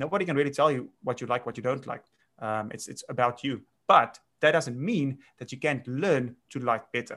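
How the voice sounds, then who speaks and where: Here is a man with a South African accent. His tone is bright and sharp. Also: medium pitch for a man, ordinary pitch variation, moderate pace, big swings in loudness. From South Africa, grew up on a farm. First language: Afrikaans. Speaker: winemaker. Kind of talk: casual interview chat.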